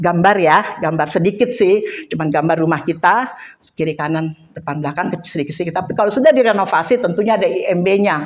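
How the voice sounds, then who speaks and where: The speaker is a woman with a fairly low pitch. She talks at a very fast pace. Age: 60s. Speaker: Bible teacher. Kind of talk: personal testimony; Bible study teaching. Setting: women's church group.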